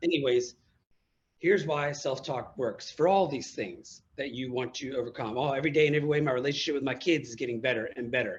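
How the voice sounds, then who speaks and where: Here a man with an American accent talks at a very fast pace. His fairly high voice is somewhat breathy. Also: ordinary pitch variation. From USA. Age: 40s. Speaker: motivational speaker and coach, former marine. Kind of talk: interview. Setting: live video call. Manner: enthusiastic.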